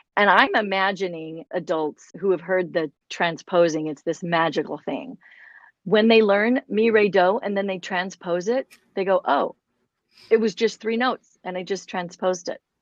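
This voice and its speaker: A woman with an unremarkable speaking voice and an American accent talks at a moderate pace and medium pitch with ordinary variation, in a dry, close sound with no echo over a quiet background. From United States. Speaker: podcast host, music curriculum founder. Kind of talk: interview conversation.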